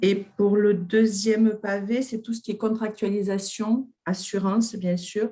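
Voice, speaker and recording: A woman speaks at a very slow pace with hardly any pauses and a somewhat breathy voice. Her medium-pitched delivery has monotone, flat intonation. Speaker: workshop participant. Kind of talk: group presentation.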